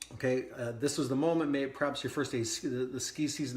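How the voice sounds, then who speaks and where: A man speaks at a very fast pace in an excited tone. His voice is somewhat breathy. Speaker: wellness coach. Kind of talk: podcast monologue. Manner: casual with frequent restarts; speeding up as he gets excited.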